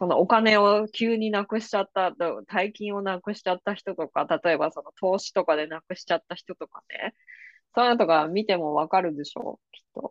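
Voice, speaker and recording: A woman's plain, everyday voice at medium pitch, fairly quick pace, ordinary pitch variation and big swings in loudness, with a dry, close sound with no echo and a quiet background. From Japan, Kanagawa. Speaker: podcast host and psychic reader. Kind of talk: casual interview chat.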